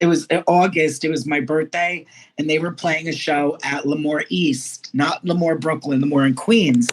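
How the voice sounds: A woman speaks in a low pitch with fairly even intonation. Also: moderate pace.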